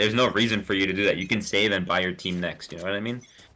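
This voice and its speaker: The voice is a man's, with a non-native accent. Pitch moves in an ordinary way. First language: not English. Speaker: esports caster. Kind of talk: live commentary. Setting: live stream. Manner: animated.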